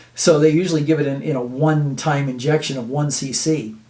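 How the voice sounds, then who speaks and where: A man's fairly high voice with audible room echo. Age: 60s. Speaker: health video host. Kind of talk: informal health talk to camera. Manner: halting, many fillers and repeats.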